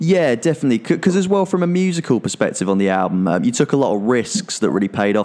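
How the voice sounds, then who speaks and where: A man's fairly quick speech shows ordinary pitch variation, with noticeable background noise around it. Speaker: magazine podcast host. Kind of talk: interview intro and chat. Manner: enthusiastic, animated.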